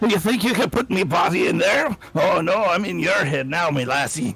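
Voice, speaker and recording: At a moderate pace, a man puts on a character voice pitched high for a man. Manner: taunting, menacing.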